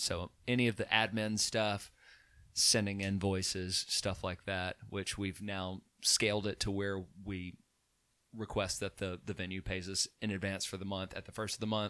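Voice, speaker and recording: A man's fairly low, bright and sharp voice, monotone and flat, at a moderate pace, on a very clean recording with a silent background. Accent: Alabama. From Alabama (Chelsea). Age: 30s. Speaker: musician and DJ business owner. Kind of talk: casual chat.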